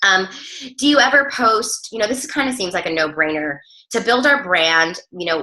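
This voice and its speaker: A woman speaks in an energetic tone. Her pitch makes very wide swings. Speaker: fitness coach team leader. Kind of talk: team training call. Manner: fast; casual, energetic.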